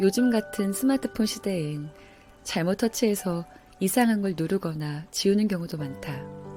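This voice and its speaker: With music in the background, a woman speaks at a fairly slow pace in a fairly low voice with lively intonation. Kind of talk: audiobook-style essay reading.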